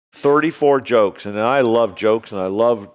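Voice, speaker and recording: This man has an unremarkable speaking voice, medium in pitch with ordinary pitch variation, and he talks at a moderate pace with an American accent. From Illinois, US Midwest. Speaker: golf course management executive. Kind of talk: joke telling in casual chat. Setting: studio with live audience.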